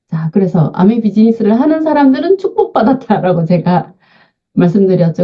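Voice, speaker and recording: A somewhat breathy woman speaks at a moderate pace in a fairly high voice, her pitch swinging very widely. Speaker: invited lecturer on senior health. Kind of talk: online lecture.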